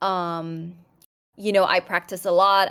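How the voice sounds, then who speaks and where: This woman speaks with a Thai accent. Her pitch sits at a medium level. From Thailand. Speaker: podcast guest, opera singer, polyglot. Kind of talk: casual chat. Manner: halting, many fillers and restarts.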